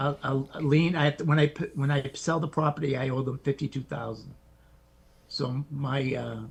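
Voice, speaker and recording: Somewhat breathy, a man with a fairly high pitch speaks at a moderate pace in a monotone, flat intonation. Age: 60s. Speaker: military veteran. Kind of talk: live Q&A question.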